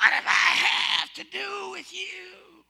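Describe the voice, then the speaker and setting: A man puts on a hoarse character voice. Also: high pitch for a man, fairly slow pace. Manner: menacing.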